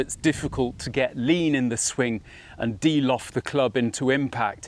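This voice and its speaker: The recording is very clean, with a silent background. A man speaks in a plain, everyday voice at a fairly slow pace. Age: 60s. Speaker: golf instructor. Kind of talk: tutorial.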